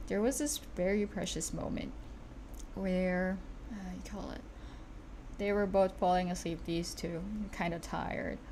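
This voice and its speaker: A woman speaks at a fairly slow pace with long, frequent pauses. There is audible room echo. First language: not English. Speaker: streamer and digital artist. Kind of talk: casual livestream chat while drawing. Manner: halting, self-correcting.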